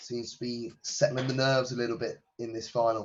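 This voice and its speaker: Somewhat breathy man's voice at a medium pitch, moderate pace and fairly even intonation. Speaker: darts commentator. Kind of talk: live commentary.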